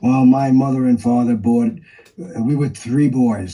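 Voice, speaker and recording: A man's medium-pitched voice with a New York accent, fairly even intonation and a fairly slow pace. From New York City, East Harlem. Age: 80s+. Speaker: artist. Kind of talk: interview.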